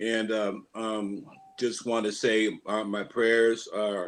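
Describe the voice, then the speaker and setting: Very slowly and in a flat monotone, a man with an American accent speaks at a fairly low pitch. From US Pacific Northwest, Seattle. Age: 60s. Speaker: guitarist in a tribute band. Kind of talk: band member introduction on livestream. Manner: halting, many fillers and restarts.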